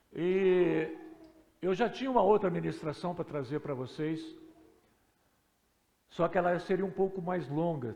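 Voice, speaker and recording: A man's high-pitched, dark, mellow voice at a moderate pace, with ordinary pitch variation and audible room echo. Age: 60s. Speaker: pastor. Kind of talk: sermon. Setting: church.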